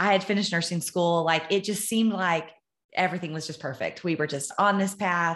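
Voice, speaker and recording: With a Texan accent, a woman talks at a very fast pace in a fairly low pitch. The recording is very clean, with a silent background. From Texas, Amarillo. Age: 40s. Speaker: nurse and running coach. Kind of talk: casual chat.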